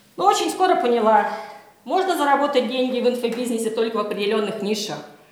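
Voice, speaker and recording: Audible room echo surrounds a woman whose fairly high voice carries an animated tone and lively intonation. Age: 50s. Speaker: journalist and blogger. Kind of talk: workshop lecture.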